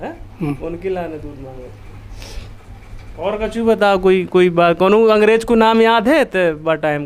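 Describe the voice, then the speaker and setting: High-pitched male speech with lively intonation, big swings in loudness, and long, frequent pauses. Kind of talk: interviewer, casual conversation.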